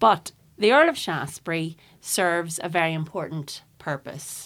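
On a very clean recording with a silent background, a woman in a Northern Irish accent speaks at a fairly slow pace with a fairly low pitch and ordinary pitch variation. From Northern Ireland, County Tyrone near Cookstown. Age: 40s. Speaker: environmental campaigner. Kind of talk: casual interview chat. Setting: studio.

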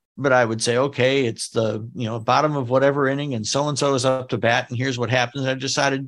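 This man speaks with an American accent. He talks very fast. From United States. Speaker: new age pianist and composer. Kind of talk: casual chat.

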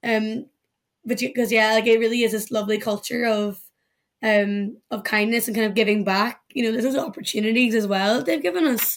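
A woman in a Northern Irish accent, fairly high-pitched, at a fairly quick pace with fairly even intonation. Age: 20s. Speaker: law graduate, legal professional. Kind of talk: casual interview.

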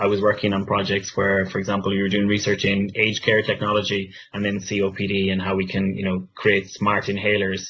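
A man with an Irish accent and a fairly low pitch, talking fairly quickly in a monotone, flat intonation. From west of Ireland. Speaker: business strategy manager, former scientist. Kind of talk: career talk with audience Q&A.

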